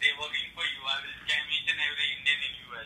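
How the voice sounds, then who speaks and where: Noticeable background noise is present. The talking moves along at a fairly quick pace. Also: man. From India. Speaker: phone scammer. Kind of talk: phone conversation. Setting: phone line.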